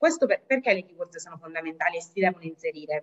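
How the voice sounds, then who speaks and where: A woman's fairly low voice at a very fast pace, with ordinary pitch variation and a quiet background. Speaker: language school executive; webinar presenter. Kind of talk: webinar presentation. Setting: video call, sharing one computer. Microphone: video call.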